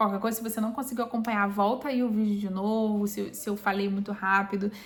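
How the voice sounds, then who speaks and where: Somewhat breathy woman's voice, fairly high in pitch, with fairly even intonation. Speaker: Bible reading YouTuber. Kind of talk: Bible reading aloud with commentary. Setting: home, recorded or live video.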